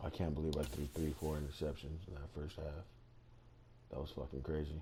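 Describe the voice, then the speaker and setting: A man talks quietly and fairly quickly in a very deep, low voice with vocal fry and monotone, flat intonation. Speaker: gamer streamer. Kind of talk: casual gaming commentary. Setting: home at night.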